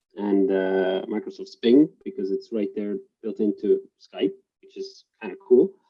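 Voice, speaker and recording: A man's pitch swings very widely while he talks at a fairly slow speed. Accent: Estonian. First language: Estonian. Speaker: government digital construction official. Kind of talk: panel discussion.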